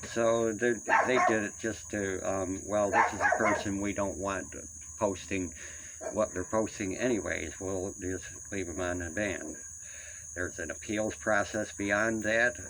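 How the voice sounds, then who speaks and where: Amid noticeable background noise and audible room echo, a man speaks at a fairly slow pace in a fairly low pitch with fairly even intonation. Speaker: vlogger. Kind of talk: personal rant monologue. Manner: halting, many fillers.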